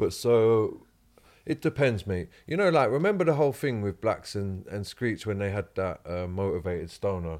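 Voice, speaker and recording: Speaking in a London accent, a man with a fairly low pitch talks at a moderate pace. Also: very clean recording, silent background. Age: 30s. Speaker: guest. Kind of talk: casual chat.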